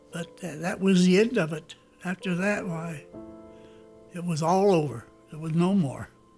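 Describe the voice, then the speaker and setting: Backed by music, a man speaks at a high pitch and a moderate pace, with long, frequent pauses. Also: ordinary pitch variation, big swings in loudness. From United States. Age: 80s+. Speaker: war veteran. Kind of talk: interview answer.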